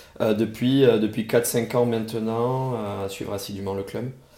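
Room echo is audible. The intonation stays fairly even. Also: man. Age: 30s. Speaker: football fan co-host. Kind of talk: casual chat.

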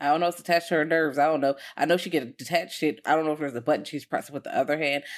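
A woman with a very deep, low pitch talks at a very fast pace in an animated tone, recorded very cleanly against a silent background. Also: big swings in loudness. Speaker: podcast host. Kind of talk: casual chat. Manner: animated, joking.

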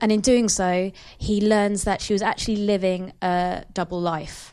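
A woman speaks in a flat monotone. The background is quiet. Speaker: podcast host. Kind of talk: casual chat about TV. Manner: playful, quick banter.

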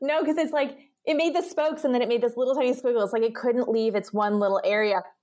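A woman's high voice, very fast, with lively intonation and very even loudness. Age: 30s. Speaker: entrepreneur and company founder. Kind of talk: casual chat.

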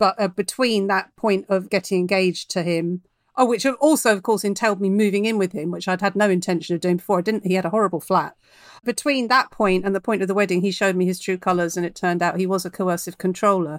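Speaking very fast with a southern English accent, a woman holds a medium pitch and fairly even intonation, her voice dry and close with no echo in a very clean recording with a silent background. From London. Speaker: novelist. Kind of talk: casual chat.

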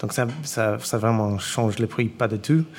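A man speaks at a moderate pace with an English accent, his pitch fairly low. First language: English (speaking French). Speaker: chef and restaurant owner. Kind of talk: panel discussion before a live audience. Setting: stage with audience in a restaurant. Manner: halting, many repetitions.

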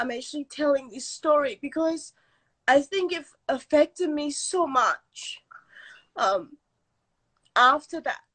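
A woman's high-pitched, bright, sharp voice at a very slow pace. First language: not English. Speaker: storyteller. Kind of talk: storytelling.

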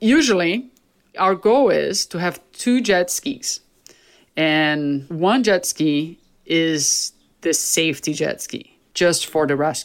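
In a Portuguese accent, a woman speaks at a very slow pace with lively intonation. Her pitch is fairly low, and the recording is very clean with a silent background. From Brazil. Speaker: big wave surfer and paramedic. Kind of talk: interview.

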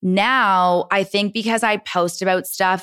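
Here a woman speaks in a plain, everyday voice at medium pitch. Her intonation is fairly even, and the recording is very clean with a silent background. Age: 30s. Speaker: entrepreneur and content creator. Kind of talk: casual chat.

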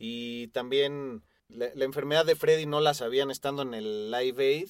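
Speaking with a Mexican accent, a man uses a fairly high pitch, ordinary pitch variation and a moderate pace. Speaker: rock podcast co-host. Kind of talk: casual chat.

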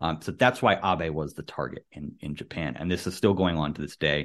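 A man speaks with a New York accent at a fairly quick pace. His pitch variation is ordinary, and the background is quiet. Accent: American (New York area). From US, New York City area. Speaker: podcast host. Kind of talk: casual chat. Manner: hesitant, many fillers.

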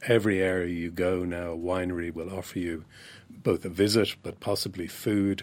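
On a very clean recording with a silent background, a man with an Irish accent speaks at a moderate pace in a very deep, low pitch and a monotone, flat delivery. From Ireland. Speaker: wine writer. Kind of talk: interview.

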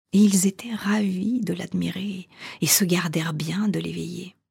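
At a very slow pace, a woman speaks in a warm, theatrical tone with a medium pitch and vocal fry. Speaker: storyteller and coach. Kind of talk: fairy tale narration, read aloud in a storytelling voice. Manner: slow, measured, theatrical storyteller with dramatic emphasis; warm and intimate, addressing listener as tu.

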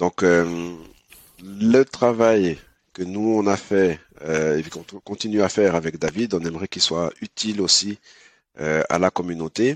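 Very deep, low-pitched man at a very slow pace, ordinary pitch variation, dry, close sound with no echo over a quiet background. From Switzerland. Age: 30s. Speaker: app co-founder. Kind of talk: interview.

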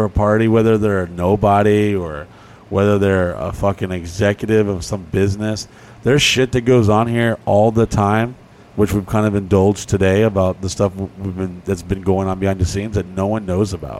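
A fairly quick pace carries a plain, everyday voice. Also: man. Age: 30s. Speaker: podcast co-host. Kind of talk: casual chat.

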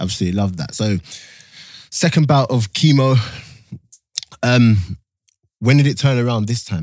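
His intonation is lively and his pace moderate. This man has a plain, everyday voice, pitched at a medium level. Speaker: podcast host. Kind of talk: casual chat. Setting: studio.

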